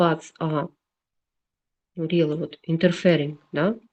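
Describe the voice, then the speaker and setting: A woman with a Russian accent has a dark, mellow tone. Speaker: engineering lecturer. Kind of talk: lecture. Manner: slow; halting.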